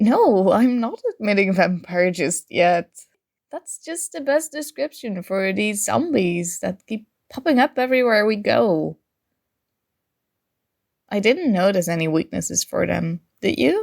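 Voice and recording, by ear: A woman uses a put-on character voice with vocal fry, a slightly mellow tone, medium pitch and big pitch swings, at a fairly slow pace. The recording is very clean, with a silent background.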